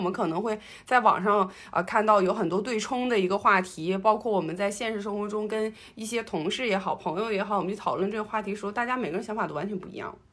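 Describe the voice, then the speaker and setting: A woman speaks very fast at a medium pitch. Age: 30s. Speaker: podcast co-host, office worker. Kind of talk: casual chat.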